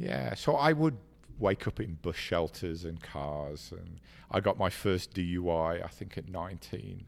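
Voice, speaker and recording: With a very clean recording and a silent background, a man with a very deep, low voice speaks fairly slowly and with lively intonation. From Ireland and England. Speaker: business executive and speaker. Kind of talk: casual chat, personal story interview. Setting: studio.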